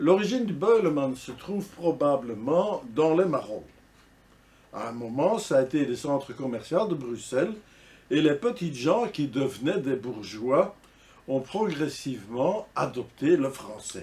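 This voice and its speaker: Speaking at a fairly slow pace, a man with a fairly high pitch and a dark, mellow, somewhat breathy tone makes very wide pitch swings. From Brussels, Belgium (Ganshoren, Saint-Gilles). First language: Brussels Flemish dialect (speaking French). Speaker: dialect enthusiast / vlogger. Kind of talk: casual monologue to camera.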